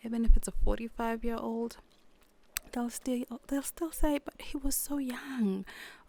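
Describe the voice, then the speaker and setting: At a moderate pace, a woman with a South African accent speaks in a fairly high pitch. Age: 30s. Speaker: podcast host. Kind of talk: casual monologue. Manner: halting, self-interrupting.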